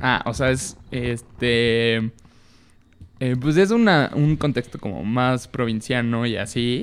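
With a medium pitch, a man speaks at a very slow pace. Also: ordinary pitch variation. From Mexico, Tepic, Nayarit. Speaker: podcast guest sharing coming-out story. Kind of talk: casual chat, personal testimony.

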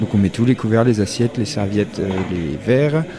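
A man is speaking. Background noise is noticeable. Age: 20s. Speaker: waiter. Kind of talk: interview. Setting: restaurant dining room.

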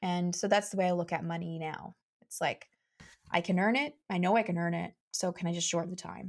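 A woman with a Canadian accent and an unremarkable speaking voice, fairly low in pitch, with ordinary pitch variation at a fairly quick pace. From Canada, Saskatchewan (Saskatoon). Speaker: mindset coach and marketing strategist. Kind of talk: casual interview.

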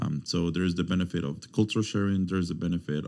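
In a Spanish accent, a man with a very deep, low pitch and a dark, mellow tone talks at a very fast pace. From Mexico, Veracruz. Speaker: university student recruitment officer. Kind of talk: interview.

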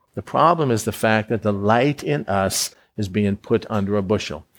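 A man with an unremarkable speaking voice talks at a fairly slow pace and a fairly low pitch, with ordinary pitch variation. The recording is very clean, with a silent background. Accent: American. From Florida. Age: 60s. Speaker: preacher. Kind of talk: sermon.

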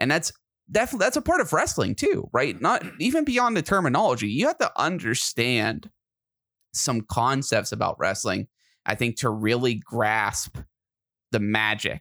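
The speech moves at a moderate pace with very even loudness, in a very clean recording with a silent background. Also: man, dry, close sound with no echo. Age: 30s. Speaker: podcast host. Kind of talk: casual chat.

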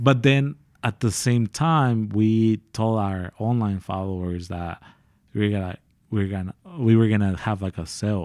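A man with an American accent and an unremarkable speaking voice talks at a fairly slow pace and fairly low pitch with ordinary pitch variation, recorded very cleanly against a silent background with a dry, close sound and no echo. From San Diego, California. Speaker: clothing brand co-founder. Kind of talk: podcast interview. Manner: casual, filler-heavy.

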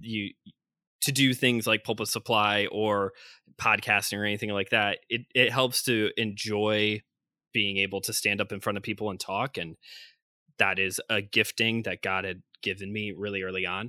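A fairly low-pitched man with a Chicago accent, bright and sharp, flat and monotone, at a moderate pace, in a dry, close, very clean recording with no echo and a silent background. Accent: Chicago-area American. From Northwest Indiana (Chicagoland). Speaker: traveling preacher and seminary student. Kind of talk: casual interview.

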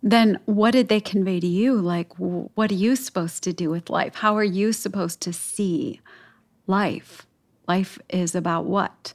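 With an American accent, this is an ordinary speaking voice at a fairly slow pace with ordinary pitch variation. The recording is very clean, with a silent background. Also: woman, medium pitch for a woman. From US, Chicago. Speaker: podcast co-host. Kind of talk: casual chat.

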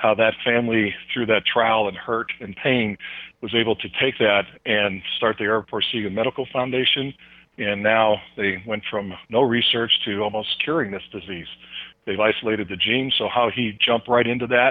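A man talks in a normal speaking voice at a medium pitch and moderate pace, with fairly even intonation. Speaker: former football player turned ministry speaker. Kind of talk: interview.

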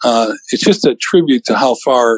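A man with an American accent speaks at a medium pitch and moderate pace in a dry, close sound with no echo. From US Midwest, Cleveland, Ohio. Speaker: software founder and former radio talent. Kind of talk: interview. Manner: halting.

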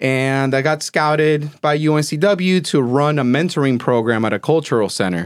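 A Spanish accent, ordinary pitch variation and a moderate pace. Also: man, fairly high pitch for a man, hardly any pauses, very even loudness, very clean recording, silent background. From Caracas, Venezuela. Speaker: business owner. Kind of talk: casual interview.

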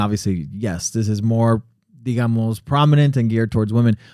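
A normal speaking voice with an American accent, fairly quick pace and lively intonation. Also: man. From US, Connecticut-born, Colombian family. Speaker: podcast co-host. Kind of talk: casual chat. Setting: studio.

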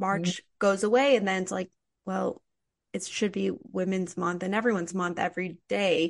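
A woman's plain, everyday voice of medium pitch, with fairly even intonation at a moderate pace. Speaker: podcast host. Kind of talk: interview.

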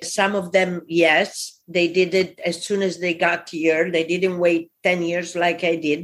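A woman with an Italian accent speaks at a fairly slow pace with hardly any pauses. Her fairly low voice has monotone, flat intonation. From Italy. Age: 60s. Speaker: immigrant entrepreneur. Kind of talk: interview.

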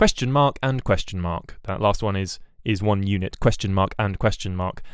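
At a moderate pace, a man with a British accent talks in a very clean recording with a silent background. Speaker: podcast host. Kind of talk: solo news bulletin podcast. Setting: home recording, bedroom. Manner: rambling, hesitant, self-correcting.

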